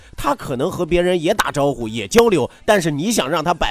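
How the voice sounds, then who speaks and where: The man's pitch is high, with very wide pitch swings and an animated tone. Noticeable background noise runs underneath. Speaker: radio talk show host. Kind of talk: entertainment talk show monologue. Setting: radio studio. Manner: laughs often.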